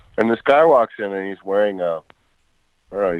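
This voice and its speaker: In a New York accent, a man talks with a fairly low pitch. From New York, Westchester County. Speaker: record producer and guitarist. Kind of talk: interview conversation. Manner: halting.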